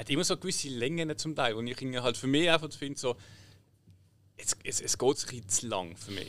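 This man has a Swiss accent and a medium pitch. He talks at a moderate pace with ordinary pitch variation. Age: 30s. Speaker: podcast co-host. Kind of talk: casual chat.

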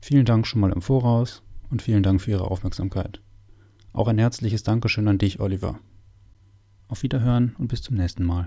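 In a very clean recording with a silent background, a man with a fairly low pitch and a dark, mellow tone talks at a fairly quick pace, somewhat breathy, with ordinary pitch variation and long, frequent pauses. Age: 20s. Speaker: parish podcast host and altar server. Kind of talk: semi-scripted parish podcast conversation. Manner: formal.

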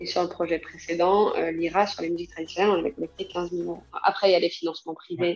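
At a very fast pace and with hardly any pauses, a woman talks in a fairly low pitch with ordinary pitch variation. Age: 30s. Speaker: association founder. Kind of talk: interview. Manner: hesitant, many fillers.

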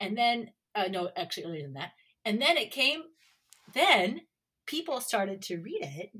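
With an American accent, a woman with a fairly high pitch and a bright, sharp tone talks at a moderate pace, her pitch swinging very widely and her loudness swinging a lot, with long, frequent pauses. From United States. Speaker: university professor. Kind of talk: academic interview.

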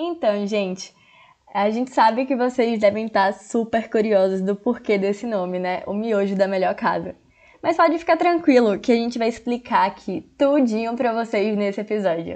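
Against a quiet background, a woman with a fairly high pitch and lively intonation speaks in a plain, everyday voice. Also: moderate pace. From Jequié, interior of Bahia, Brazil. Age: 20s. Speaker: podcast co-host. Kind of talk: casual chat.

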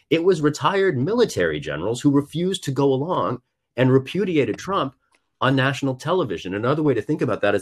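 Against a quiet background, a man talks at a very fast pace with vocal fry. His pitch swings very widely. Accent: American. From US Midwest, rural Missouri. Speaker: congressional candidate. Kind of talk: political interview. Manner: animated.

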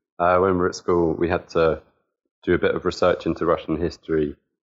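A man with a very deep, low voice and a southern English accent, flat monotone delivery at a fairly quick pace. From Southampton, southern England. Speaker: football fan. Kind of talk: casual chat.

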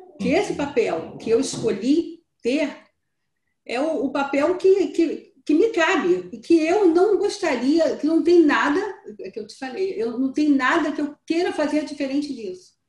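A woman's high voice, lively in intonation, at a fairly slow pace. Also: big swings in loudness. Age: 60s. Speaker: training participant. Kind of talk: interview.

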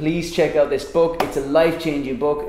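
Background noise is clearly audible. Over it, a man talks rather quickly. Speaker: podcast host. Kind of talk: casual interview chat. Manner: animated, enthusiastic.

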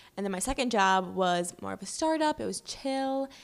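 A woman speaks with an ordinary speaking voice at a medium pitch and a moderate pace, her intonation lively. The recording is very clean, with a silent background. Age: 20s. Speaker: brand manager and cookbook writer. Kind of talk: casual interview chat.

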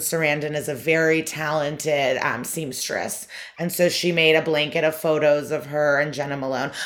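At a fairly slow pace, a woman with an American accent speaks in a very deep, low voice over noticeable background noise. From US Midwest, Chicago suburbs. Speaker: comedian. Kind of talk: casual chat.

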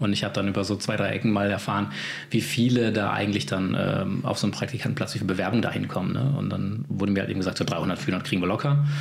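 A man speaks at a very fast pace over noticeable background noise. Audible room echo surrounds his voice. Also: fairly low pitch for a man, ordinary pitch variation, very even loudness. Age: 40s. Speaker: video production company owner. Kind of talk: casual interview.

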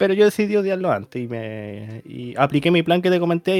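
Over noticeable background noise, a man with a Chilean accent speaks at a high pitch with lively intonation. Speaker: podcast host. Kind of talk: casual chat.

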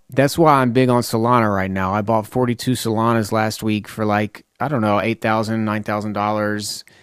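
On a very clean recording with a silent background, a man with a Tennessee accent speaks at a medium pitch and moderate pace with fairly even intonation. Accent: Southern US (Tennessee). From US South, Lebanon, Tennessee. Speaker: rapper and podcast host. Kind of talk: casual monologue. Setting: home studio.

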